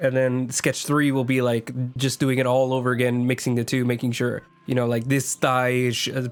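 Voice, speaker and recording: A man at a medium pitch, talking at a fairly quick pace with very even loudness over background music. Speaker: artist streaming digital painting. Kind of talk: casual stream commentary. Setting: live stream. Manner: halting, many fillers.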